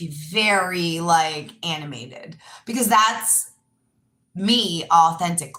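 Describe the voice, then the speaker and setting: This woman talks at a fairly slow pace. Her tone is bright and sharp. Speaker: yoga teacher and live streamer. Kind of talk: casual live stream monologue. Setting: live stream. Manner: animated; loud.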